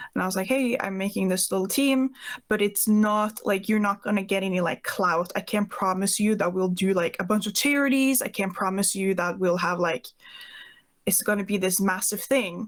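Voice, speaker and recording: On a very clean recording with a silent background, a woman with a Norwegian accent speaks at a moderate pace, medium pitch and ordinary pitch variation. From Norway. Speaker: Twitch streamer. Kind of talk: podcast interview.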